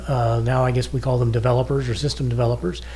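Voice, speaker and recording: Audible echo from the room surrounds the recording. A man talks in it fairly quickly. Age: 60s. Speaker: podcast co-host, retired businessman. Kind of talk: casual podcast talk. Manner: conversational, with frequent fillers.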